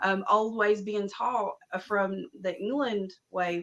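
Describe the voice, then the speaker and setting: Pitched at a medium level, a woman speaks with an Appalachian accent and fairly even intonation. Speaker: herbalist and spiritual practitioner. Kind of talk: casual chat.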